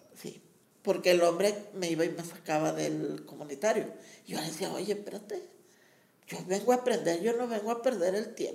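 In a room with audible echo, the voice has a dark, mellow tone with vocal fry, moving at a moderate pace with ordinary pitch variation. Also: woman, medium pitch for a woman. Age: old. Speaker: community center teacher and promoter. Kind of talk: interview.

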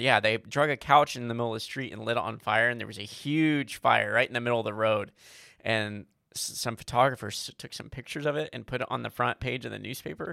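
A man with a normal speaking voice, medium pitch and ordinary pitch variation, at a fairly quick pace, with big swings in loudness. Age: 30s. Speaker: podcast co-host. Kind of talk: casual chat.

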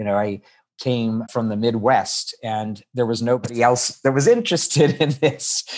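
A man speaks with a plain, everyday voice at a medium pitch. His pace is moderate and his intonation fairly even. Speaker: musical theater composer. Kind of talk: casual interview.

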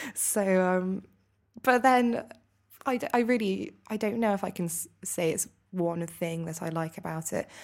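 A woman's medium-pitched voice with a British accent, fairly slow and with ordinary pitch variation, on a very clean recording with a silent background. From UK. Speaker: master's student. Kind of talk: casual interview. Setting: hotel, live recording.

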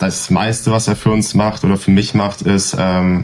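A man's fairly low voice with fairly even intonation over noticeable background noise. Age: 20s. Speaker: esports player and apprentice. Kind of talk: casual interview.

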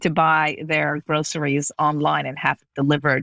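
At a moderate pace, a woman speaks with a very deep, low pitch on a very clean recording with a silent background and a dry, close sound with no echo. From Las Vegas, US. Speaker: business executive and author. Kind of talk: interview.

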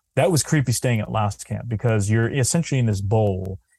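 Dark, mellow tone from a man at medium pitch, fairly quick in pace, with ordinary pitch variation. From New Hampshire. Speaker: filmmaker and cryptid researcher. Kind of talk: casual interview chat.

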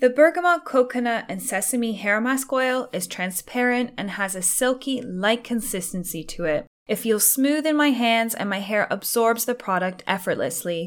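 Lively in intonation and fairly high in pitch, a woman speaks at a moderate pace with hardly any pauses. Hers is a normal speaking voice. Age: 30s. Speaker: hair care podcaster. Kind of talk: product review. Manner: scripted reading.

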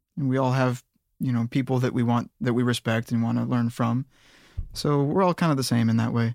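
On a very clean, dry, close recording with no echo and a silent background, a man with an unremarkable speaking voice talks fairly quickly at medium pitch, with fairly even intonation and very even loudness. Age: 30s. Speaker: music producer. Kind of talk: casual chat.

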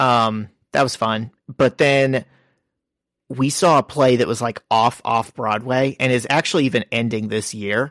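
A normal speaking voice comes at a fairly slow pace with fairly even intonation, dry and close with no echo, in a very clean recording with a silent background. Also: man, medium pitch for a man. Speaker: comic book podcast host. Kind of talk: casual chat.

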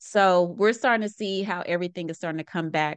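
A woman with a normal speaking voice talks at a fairly quick pace with ordinary pitch variation, in a dry, close sound with no echo and a quiet background. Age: 30s. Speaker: podcast host and packaging consultant. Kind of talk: solo podcast monologue. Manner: casual, conversational.

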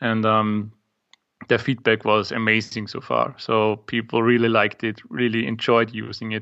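Speaking in an Austrian accent, a man with a medium pitch keeps a monotone, flat intonation at a moderate pace. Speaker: startup founder and app maker. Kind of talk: casual interview chat. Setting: video call. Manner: hesitant, filler-heavy.

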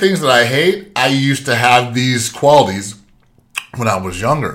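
A bright, sharp tone comes through at a moderate pace with audible room echo. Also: man. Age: 40s. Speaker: podcast host, business owner and Marine veteran. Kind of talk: solo monologue, motivational talk.

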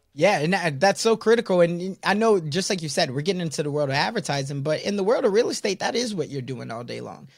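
A man talks very fast in a high, energetic voice with lively intonation. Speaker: podcast host. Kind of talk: casual interview chat.

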